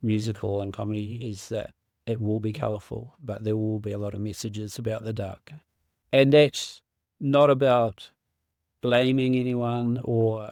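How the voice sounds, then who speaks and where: A man with a plain, everyday voice, medium pitch, moderate pace and fairly even intonation, on a very clean recording with a silent background. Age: 60s. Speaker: mental health survivor sharing lived experience. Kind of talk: casual chat. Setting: podcast interview.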